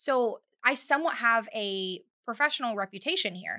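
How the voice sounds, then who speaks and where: In a Californian accent, a woman speaks at a fairly quick pace with a fairly high pitch, lively intonation and a bright, sharp tone. The recording is very clean, with a silent background. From California, Bakersfield. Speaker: photographer. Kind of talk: casual chat.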